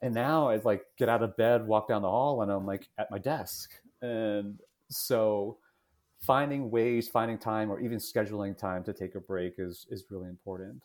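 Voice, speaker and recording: A man speaks with an American accent in a normal speaking voice. His pitch is fairly low with ordinary variation, on a very clean recording with a silent background. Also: moderate pace. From New Jersey, US. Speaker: college admissions director. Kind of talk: casual interview.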